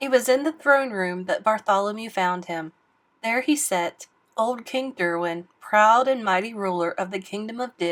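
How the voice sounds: The voice heard here reads in a natural way.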